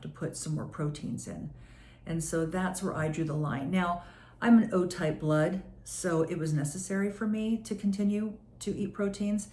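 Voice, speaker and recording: With a dark, mellow tone, a woman talks at a moderate pace in a fairly low, somewhat breathy voice with ordinary pitch variation. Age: 60s. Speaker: wellness business owner. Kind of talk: casual talk to camera.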